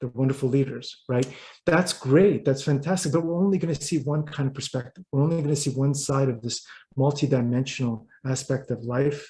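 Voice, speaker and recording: At a fairly quick pace, a man with a fairly high pitch speaks in a dark, mellow, somewhat breathy tone with fairly even intonation. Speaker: writer and business consultant. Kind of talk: interview. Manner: halting, repeats words.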